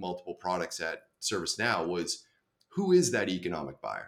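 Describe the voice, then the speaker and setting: At a fairly quick pace, a man speaks in a very deep, low voice with ordinary pitch variation. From Boston. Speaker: enterprise software sales executive. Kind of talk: podcast interview.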